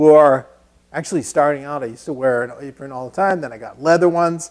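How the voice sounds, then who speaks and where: A man with a Massachusetts accent talks at a very fast pace in a fairly high pitch. His pitch varies in an ordinary way while his loudness swings widely. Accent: Lowell, Massachusetts. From New England (Lowell, Massachusetts). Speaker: woodworking instructor. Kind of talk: live-streamed tutorial. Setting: woodworking shop, live stream. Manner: casual, conversational.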